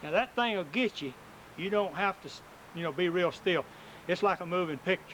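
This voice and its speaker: A man with a rural Southern US accent talks at a fairly quick pace and high pitch. He leaves long, frequent pauses, and his pitch variation is ordinary. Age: 50s. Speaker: oral history interviewer. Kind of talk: oral history interview.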